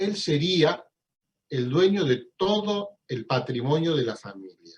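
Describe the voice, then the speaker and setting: The intonation here is lively. The voice is somewhat breathy. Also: man. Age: 60s. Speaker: law professor. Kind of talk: lecture.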